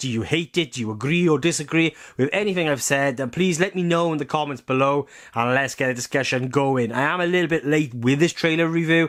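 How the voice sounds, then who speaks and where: On a very clean recording with a silent background, a man with a strong Welsh accent speaks at a fairly quick pace and fairly high pitch, with ordinary pitch variation. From Wales. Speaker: film and TV reviewer. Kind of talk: video review monologue. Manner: rambling, hesitant with fillers.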